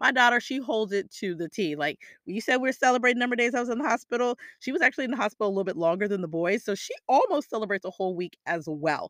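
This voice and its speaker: In a very clean recording with a silent background, a woman talks at a very fast pace with an animated tone, lively intonation and a fairly high pitch. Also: dry, close sound with no echo. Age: 40s. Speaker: career coach and podcast host. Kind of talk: solo podcast monologue.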